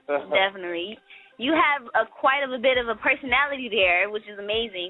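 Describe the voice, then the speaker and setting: Over music in the background, a woman with a high pitch speaks at a fairly quick pace with lively intonation. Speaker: radio host. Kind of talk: interview. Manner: fast.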